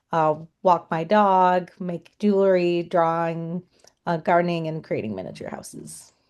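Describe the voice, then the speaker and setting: A woman with an American accent speaks in a plain, everyday voice at a fairly slow pace, her fairly low pitch and fairly even intonation paired with big swings in loudness over a quiet background. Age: 30s. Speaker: education coordinator. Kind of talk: self-introduction in webinar. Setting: online webinar.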